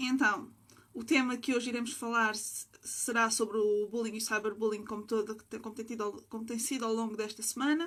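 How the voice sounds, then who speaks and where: In a plain, everyday voice with a fairly high pitch, a woman talks at a fairly quick pace with fairly even intonation on a very clean recording with a silent background. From Portugal (Sintra). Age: 20s. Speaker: livestream host. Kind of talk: interview. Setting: livestream.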